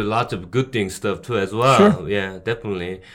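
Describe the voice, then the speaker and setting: A man speaks with a Korean accent. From South Korea, Busan. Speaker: bar owner. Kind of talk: casual interview chat. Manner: halting.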